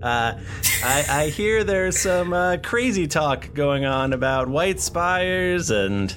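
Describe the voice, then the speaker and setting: Over clear background noise, a man puts on a nasal character voice at a fairly high pitch, going very slowly with hardly any pauses. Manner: servile, eager.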